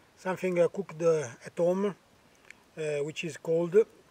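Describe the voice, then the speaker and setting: A man speaks with an Italian accent. His pitch is fairly high. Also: dry, close sound with no echo. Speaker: bushcraft vlogger. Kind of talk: outdoor cooking tutorial. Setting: outdoors. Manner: halting, many fillers.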